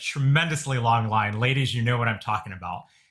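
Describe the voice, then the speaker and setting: Loud and fairly quick, this voice has a bright, sharp tone and lively intonation. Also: man. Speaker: physician advising churches. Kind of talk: webinar Q&A. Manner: loud and boisterous; many fillers, hesitant restarts.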